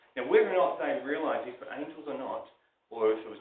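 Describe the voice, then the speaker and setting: With a New Zealand accent, a man talks at a very fast pace. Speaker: preacher. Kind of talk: sermon. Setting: live church recording, average quality.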